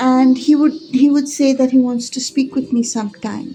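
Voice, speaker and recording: This woman is soft-spoken, with a high pitch. Her tone is dark and mellow. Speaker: spiritual teacher. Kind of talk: casual monologue.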